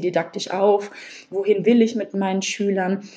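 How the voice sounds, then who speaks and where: Her medium pitch marks this woman's voice. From Hesse, Germany (Wiesbaden). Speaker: teacher trainee. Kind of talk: interview. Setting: podcast interview.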